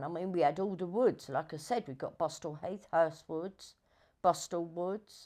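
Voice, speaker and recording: A woman speaks with a London accent at a moderate pace. The background is quiet. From southeast London. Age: 60s. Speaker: documentary subject. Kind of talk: documentary interview. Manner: halting. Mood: reflective, storytelling. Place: home room. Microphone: lapel.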